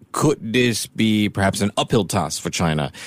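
A man speaks at a moderate pace. He uses a normal speaking voice. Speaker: radio host. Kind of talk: radio interview. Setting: studio.

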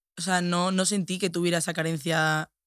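A woman speaks in a fairly low pitch with monotone, flat intonation at a moderate pace. The recording is very clean, with a silent background. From Spain, Andalusia (Seville). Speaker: influencer. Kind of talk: casual chat.

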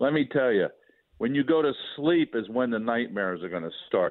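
A man talks at medium pitch and a moderate pace in an ordinary speaking voice. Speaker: retired sportswriter. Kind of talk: casual chat. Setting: phone call.

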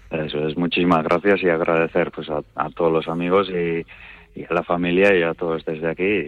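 A man's very deep, low voice at a moderate pace, flat and monotone throughout. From Basque Country, Spain. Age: 30s. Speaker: hunting champion. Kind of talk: radio interview.

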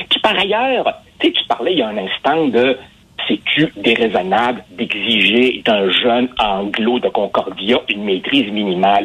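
The voice moves at a fairly slow pace against noticeable background noise. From immigrant to Quebec. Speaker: newspaper columnist and sociologist. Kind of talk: interview.

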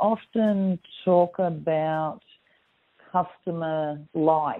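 Fairly low in pitch, a woman with an Australian accent keeps a fairly even intonation and takes long, frequent pauses. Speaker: business hub manager. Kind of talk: recorded interview. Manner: halting. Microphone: crackly phone line.

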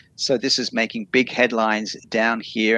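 A man with an Australian accent speaks in a bright, sharp tone with fairly even intonation, recorded dry and close with no echo. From Australia, Sydney. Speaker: journalist, former radio host. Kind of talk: remote radio interview.

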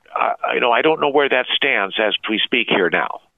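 At a moderate pace and with ordinary pitch variation, a man speaks in a plain, everyday voice. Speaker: conservative columnist. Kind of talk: interview.

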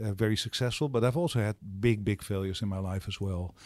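The speaking pace is fairly quick. Behind it, the background is silent in a very clean recording. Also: man. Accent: Dutch. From Netherlands. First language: Dutch. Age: 60s. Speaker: startup accelerator co-founder. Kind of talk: interview. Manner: halting.

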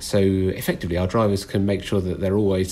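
With a British accent, a man speaks at a fairly quick pace. His voice is very deep and low, with a dark, mellow tone. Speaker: train fleet expert. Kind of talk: interview.

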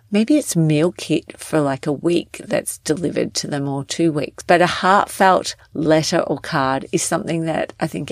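The speaker has an Australian accent. Delivery is at a moderate pace with fairly even intonation. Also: woman. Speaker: wellness and organizing coach, podcast host. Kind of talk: solo podcast tips episode.

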